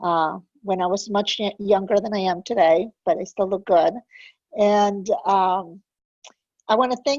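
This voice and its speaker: A normal speaking voice from a woman, medium in pitch, at a moderate pace with fairly even intonation, in a dry, close sound with no echo and a quiet background. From immigrated to US as a child. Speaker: program director hosting a webinar. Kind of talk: webinar hosting. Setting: online webinar. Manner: conversational, with frequent fillers.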